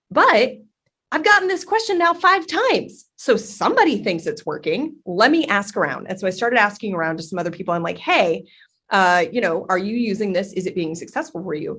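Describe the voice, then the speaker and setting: Loud and fairly quick, a woman with an American accent speaks at a medium pitch with very wide pitch swings. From Texas, Dallas. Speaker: content strategy lead. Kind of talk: podcast interview. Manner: fast.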